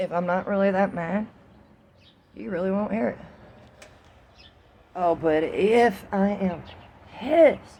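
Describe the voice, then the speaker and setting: Speaking with an American accent, a woman of medium pitch uses lively intonation. Her pace is fairly slow, with long, frequent pauses. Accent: southern US accent, stronger when angry. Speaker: vlogger. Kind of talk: casual monologue vlog. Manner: casual, profane.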